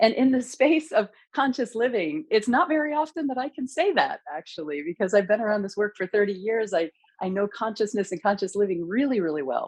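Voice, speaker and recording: The speech moves at a fairly quick pace. Its pitch swings very widely. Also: woman, fairly high pitch for a woman. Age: 50s. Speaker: podcast host. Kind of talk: interview podcast. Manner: enthusiastic.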